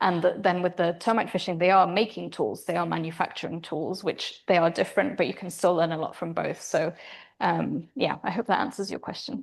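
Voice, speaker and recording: A woman speaks at a fairly quick pace with vocal fry and a fairly low pitch. The background is quiet. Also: ordinary pitch variation. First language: not English. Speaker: primatologist researcher. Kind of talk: lecture Q&A. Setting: seminar with live audience. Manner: hesitant, many fillers.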